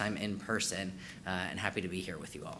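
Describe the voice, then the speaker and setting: Audible room echo surrounds a man talking at a very fast pace. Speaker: trainer and former therapist. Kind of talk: conference training presentation. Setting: in-person conference room with audience.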